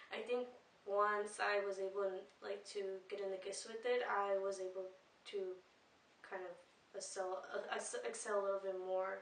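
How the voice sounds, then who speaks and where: A woman speaks in a monotone, flat intonation with a Spanish accent. Audible room echo and noticeable background noise surround her. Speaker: student. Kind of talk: casual interview testimony. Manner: hesitant, many fillers.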